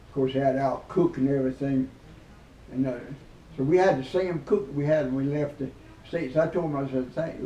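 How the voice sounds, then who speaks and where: A man in a rural Southern US accent, somewhat breathy, at a fairly quick pace with fairly even intonation. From South Carolina, USA. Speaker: WWII veteran. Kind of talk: interview answer, telling war stories. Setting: interview.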